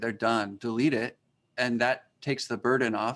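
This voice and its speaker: A man's voice at a medium pitch. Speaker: teacher. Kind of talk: webinar presentation. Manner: fast.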